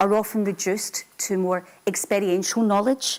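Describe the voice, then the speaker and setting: At a moderate pace, a woman talks in an unremarkable speaking voice of medium pitch. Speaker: university lecturer in sociology. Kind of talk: lecture.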